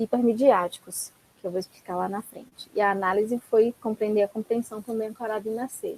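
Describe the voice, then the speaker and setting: In a dry, close recording with no echo, a woman with an ordinary speaking voice talks at a moderate pace, her pitch fairly high and her intonation fairly even. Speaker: academic researcher, recent PhD. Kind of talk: academic talk in online seminar.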